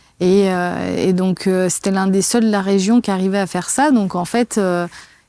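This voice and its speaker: This woman speaks in a dark, mellow tone with fairly even intonation. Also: medium pitch for a woman, moderate pace. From France near the Swiss border. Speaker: kinesiologist and personal coach. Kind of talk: interview testimony. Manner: hesitant, many fillers.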